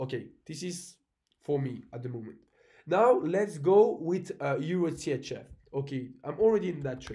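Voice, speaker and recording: Speaking at a moderate pace, a man with a fairly high pitch and a dark, mellow tone uses lively intonation and big swings in loudness, with audible room echo around him. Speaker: forex trader and trading coach. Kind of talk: screen-share market analysis tutorial. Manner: casual, halting with fillers.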